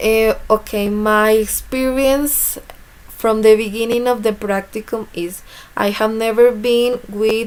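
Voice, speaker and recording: A woman with a fairly high pitch and a Spanish accent speaks very slowly in a flat, monotone way. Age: 20s. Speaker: student teacher. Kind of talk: class presentation. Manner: halting.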